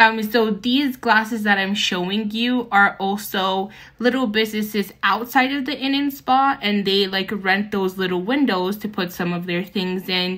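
A woman with a bright, sharp tone speaks at a moderate pace with hardly any pauses and ordinary pitch variation, over a quiet background. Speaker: travel vlogger. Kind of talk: casual vlog chat. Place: hall. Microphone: phone near.

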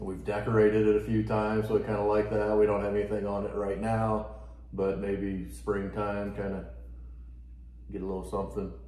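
Speaking at a fairly quick pace, a man with a fairly low pitch and a dark, mellow tone sounds somewhat breathy, shows ordinary pitch variation, and has audible room echo around him. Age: 40s. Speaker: homesteader and woodworking channel host. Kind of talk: casual chat.

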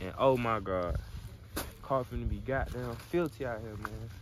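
A man speaks at a fairly slow pace in a dry sound with no echo, with noticeable background noise behind him. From Alabama, US South (Mobile area); Alabama. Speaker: vlogger. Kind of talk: casual vlog chat. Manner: animated. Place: open country. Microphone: phone near.

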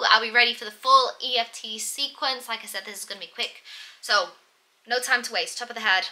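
A woman speaks in an upbeat tone at a moderate pace and a fairly high pitch, her loudness swinging widely. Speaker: EFT practitioner and life coach. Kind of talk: guided EFT tapping meditation. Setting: video, solo. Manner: friendly, upbeat, casual. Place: home room.

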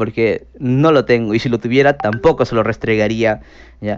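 A man at a moderate pace with fairly even intonation. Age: 30s. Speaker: streamer. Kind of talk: casual chat. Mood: defensive, scolding. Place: home room. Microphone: headset.

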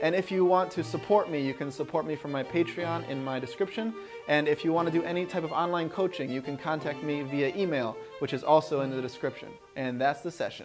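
A man talking at a very fast pace with ordinary pitch variation, clear music in the background. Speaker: fitness coach. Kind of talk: tutorial outro, casual vlog chat. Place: home room. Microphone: phone near.

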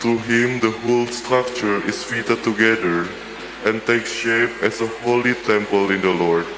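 A man talks at a moderate pace with fairly even intonation and very even loudness, against noticeable background noise. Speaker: lector reading scripture and prayers. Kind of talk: scripture reading aloud. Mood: calm, solemn. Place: church. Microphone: podium.

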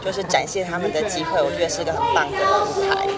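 Against clear background noise with a crowd plainly audible, a woman with a fairly low voice speaks fast, her pitch swinging very widely.

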